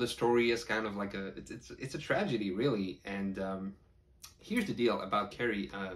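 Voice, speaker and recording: This is a man with a plain, everyday voice. His pitch varies in an ordinary way. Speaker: horror book reviewer. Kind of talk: casual talk to camera.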